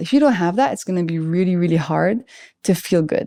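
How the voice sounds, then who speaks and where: A woman with a French accent, dark and mellow in tone, with lively intonation at a fairly quick pace. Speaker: biochemist. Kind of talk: podcast interview answer.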